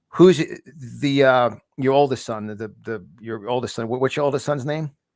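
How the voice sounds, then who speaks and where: A man's voice at medium pitch, with ordinary pitch variation and big swings in loudness. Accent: New York. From New York. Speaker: podcast host. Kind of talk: interview. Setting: live show. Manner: fast; stammering, repeats words.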